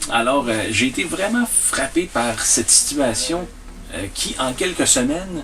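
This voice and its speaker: With a Quebec accent and lively intonation, the speaker goes at a fairly slow pace over noticeable background noise. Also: man. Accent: Québécois French. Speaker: storyteller. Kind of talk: interview answer. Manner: hesitant, many fillers.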